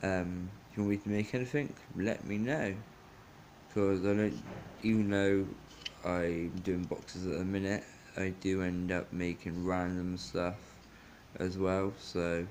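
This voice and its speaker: A man talks in a very deep, low pitch at a fairly slow pace, with fairly even intonation. Long, frequent pauses break up his speech over light background noise. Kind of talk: casual vlog chat. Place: home room. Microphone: phone near.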